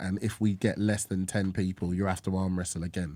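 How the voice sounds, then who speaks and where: At a fairly quick pace, a man talks in a fairly low, dark, mellow voice with fairly even intonation. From southeast London, Bromley area. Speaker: podcast host. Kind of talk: casual chat.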